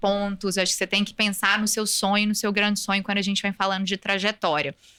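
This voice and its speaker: A woman with a bright, sharp tone and a medium pitch talks at a very fast pace. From Brazil, Minas Gerais (Belo Horizonte). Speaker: compliance executive, lawyer. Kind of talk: podcast interview.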